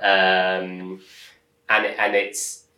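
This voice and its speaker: Audible room echo follows a man as he talks. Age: 30s. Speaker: startup founder and angel investor. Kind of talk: interview conversation.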